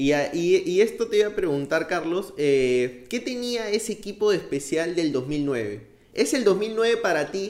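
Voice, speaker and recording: With a Peruvian accent, a man speaks at a fairly slow pace. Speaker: podcast host. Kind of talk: interview.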